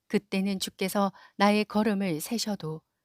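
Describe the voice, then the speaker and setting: A woman's medium-pitched voice comes through a very clean recording with a silent background, the sound dry and close with no echo. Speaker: office worker. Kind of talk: scripture reading.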